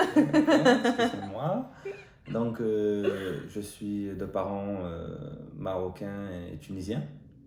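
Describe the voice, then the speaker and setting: A man speaks at a very slow pace with long, frequent pauses and big swings in loudness, over noticeable background noise and audible room echo. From Marseille, southern France. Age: 20s. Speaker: YouTuber. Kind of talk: casual chat.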